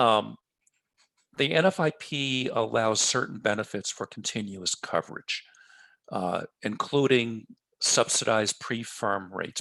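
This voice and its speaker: A man with a New York accent speaks in a bright, sharp tone, captured in a dry, close sound with no echo. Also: quiet background. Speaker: floodplain manager. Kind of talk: webinar presentation.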